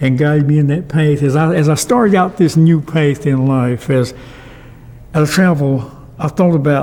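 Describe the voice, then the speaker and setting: There is noticeable background noise as a man speaks with an American accent. His voice is fairly high, with fairly even intonation. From North Carolina, Wilkes County. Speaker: retired pastor and author. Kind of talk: oral history interview. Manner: halting.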